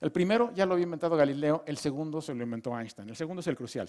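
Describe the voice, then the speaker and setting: A man with a Mexican accent at a very fast pace, with ordinary pitch variation, over a quiet background. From Mexico. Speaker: physicist giving a lecture course. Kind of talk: lecture. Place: hall. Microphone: headset.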